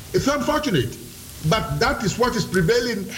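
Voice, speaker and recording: Noticeable background noise surrounds a man speaking at a moderate pace. His pitch swings very widely. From Ghana. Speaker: police officer. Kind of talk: radio interview.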